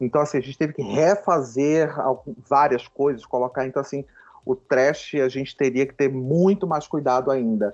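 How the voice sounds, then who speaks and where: With a normal speaking voice, a man talks at a fairly high pitch and with ordinary pitch variation. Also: moderate pace. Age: 40s. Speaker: writer and theatre director. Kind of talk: casual interview.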